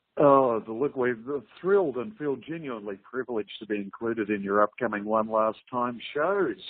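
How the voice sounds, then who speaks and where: Speaking at a moderate pace, a man with an Australian accent uses a medium pitch and lively intonation. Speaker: interviewer. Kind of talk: interview. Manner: formal.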